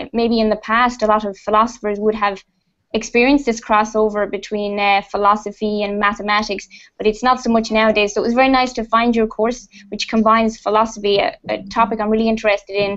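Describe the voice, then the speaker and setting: A woman with an Irish accent talks at a very fast pace. Her fairly high voice stays monotone and flat. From Ireland. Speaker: computer programmer. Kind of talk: video call discussion.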